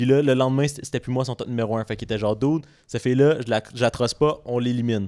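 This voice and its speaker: A man's very fast speech in a Quebec accent, medium in pitch, dark and mellow in tone, with fairly even intonation. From Montreal, Quebec. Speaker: podcast co-host. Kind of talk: casual chat.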